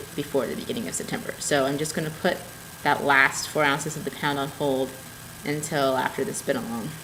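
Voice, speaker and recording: A woman speaks at a fairly quick pace in a very deep, low pitch, with audible room echo and noticeable background noise. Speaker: knitting and spinning podcaster. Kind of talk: casual video podcast show-and-tell. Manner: animated.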